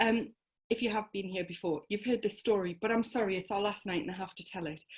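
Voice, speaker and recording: Somewhat breathy, a woman talks at a fairly quick pace in a medium pitch with ordinary pitch variation. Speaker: host of online crime fiction reading night. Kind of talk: event hosting introduction. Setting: video stream. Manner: sounds sarcastic even when genuine.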